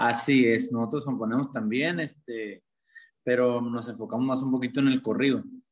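This man talks at a moderate pace in a northern Mexican accent, his medium pitch carried by fairly even intonation. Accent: northern Mexican (Sonoran) Spanish. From Mexico, Sonora (Caborca). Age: 20s. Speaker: singer-songwriter. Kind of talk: interview.

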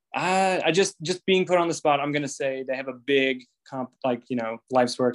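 A man speaks at a medium pitch. His is a plain, everyday voice. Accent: American. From Indiana. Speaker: navy recruiter. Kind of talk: casual chat.

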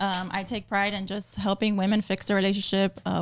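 A woman of medium pitch talks in a normal speaking voice. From Miami, Florida. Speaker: personal trainer and nutritionist. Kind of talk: casual chat.

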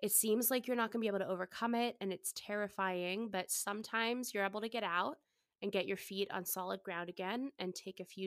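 A woman speaks in a plain, everyday voice at medium pitch and a fairly quick pace, her intonation fairly even, the sound dry and close with no echo. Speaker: podcast host. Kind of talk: casual chat.

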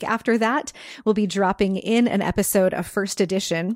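A woman with an ordinary speaking voice at a moderate pace, in a very clean recording with a silent background. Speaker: books podcast host. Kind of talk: casual chat. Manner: laughs often.

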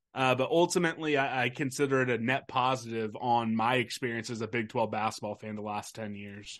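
A man's unremarkable speaking voice at medium pitch, fairly quick with hardly any pauses and ordinary pitch variation, against a quiet background. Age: 30s. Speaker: sports podcaster. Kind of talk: casual chat.

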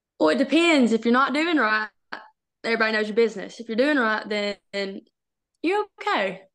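Speaking at a moderate pace in a Southern US accent, a woman uses a fairly high pitch and lively intonation, with long, frequent pauses. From Arkansas, US South. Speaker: college softball pitcher. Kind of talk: interview.

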